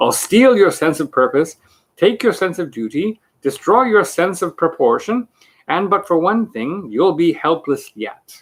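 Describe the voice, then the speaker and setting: A man's cackling, put-on character voice, high in pitch, at a moderate pace. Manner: cackling, gleeful.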